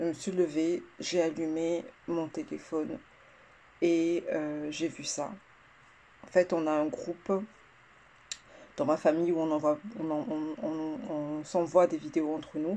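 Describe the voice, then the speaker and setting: Very slowly and with long, frequent pauses, a woman speaks in a fairly low pitch with a dark, mellow tone and ordinary pitch variation. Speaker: vlogger. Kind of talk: casual vlog rant. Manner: halting, stuttering.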